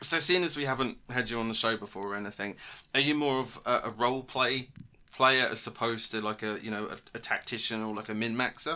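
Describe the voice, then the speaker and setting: A man with a British accent and a bright, sharp tone talks at a fairly quick pace with ordinary pitch variation, in a very clean recording with a silent background. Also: medium pitch for a man. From British Isles. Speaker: podcast co-host and game master. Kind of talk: casual chat.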